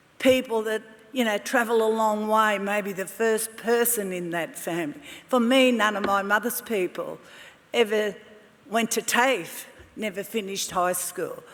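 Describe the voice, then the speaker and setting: Over noticeable background noise, a woman with a fairly high pitch talks at a fairly slow pace and keeps her intonation fairly even. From Australia, La Perouse, Sydney. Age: 70s. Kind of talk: ceremonial speech. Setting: graduation ceremony hall with audience. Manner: halting.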